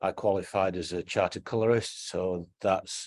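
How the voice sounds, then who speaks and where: In a quiet background, a man speaks in a fairly low voice with fairly even intonation. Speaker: textile entrepreneur. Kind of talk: interview. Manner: halting, many fillers.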